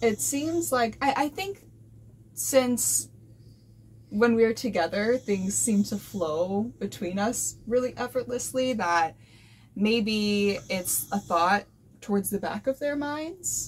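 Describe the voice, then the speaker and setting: A woman speaks very slowly with a fairly high pitch, lively intonation and a somewhat breathy quality. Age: 20s. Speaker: boat-living couple vlogger. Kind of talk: casual chat. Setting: on a boat.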